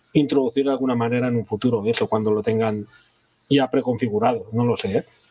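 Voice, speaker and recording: A man speaks fairly quickly at a medium pitch. His intonation is fairly even, and the sound is dry and close with no echo. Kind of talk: casual interview chat. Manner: halting, frequent repetitions.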